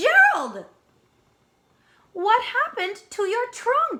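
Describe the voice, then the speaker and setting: In a put-on character voice, a woman squeaks out her words at a very slow pace, her pitch extremely high. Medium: read story. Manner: eager, expressive.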